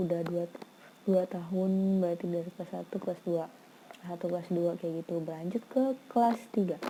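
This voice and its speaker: Soft-spoken and fairly low in pitch, a woman talks at a moderate pace with fairly even intonation. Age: 20s. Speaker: vlogger. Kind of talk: casual vlog storytelling.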